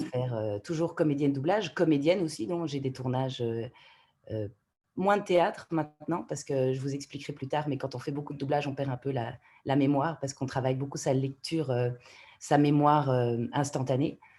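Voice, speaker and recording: A woman with a very deep, low pitch and a dark, mellow tone talks at a fairly quick pace. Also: ordinary pitch variation. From Canada. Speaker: voice actor. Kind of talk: interview answer.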